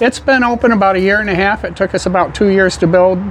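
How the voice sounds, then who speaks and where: Noticeable background noise runs behind a man speaking with an Upper Midwest accent. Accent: Upper Midwest American. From Michigan. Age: 70s. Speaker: pool hall owner. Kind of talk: casual interview.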